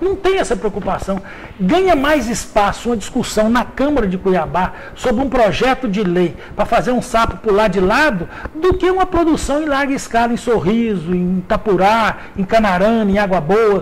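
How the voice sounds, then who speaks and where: A man speaks at a moderate pace in a high pitch, his voice making very wide pitch swings. Noticeable background noise runs underneath. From Minas Gerais, Brazil (Vale do Rio Doce). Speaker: journalist and magazine editor. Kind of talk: radio interview. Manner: halting, repeats words.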